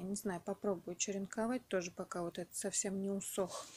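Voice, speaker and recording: Noticeable background noise accompanies speech delivered at a fairly slow pace. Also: woman. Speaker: home gardener. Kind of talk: casual talk to camera.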